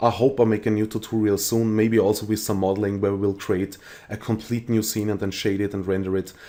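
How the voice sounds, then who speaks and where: Dark and mellow in tone, a man speaks at a fairly low pitch with an Austrian accent. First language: German. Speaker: 3D rendering tutorial creator. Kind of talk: tutorial. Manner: halting, many fillers.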